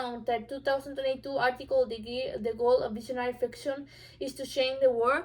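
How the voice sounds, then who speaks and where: A woman with a non-native accent and a high pitch at a fairly quick pace, with noticeable background noise. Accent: obvious non-native. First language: not English. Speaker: student. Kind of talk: informative speech. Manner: halting, many fillers.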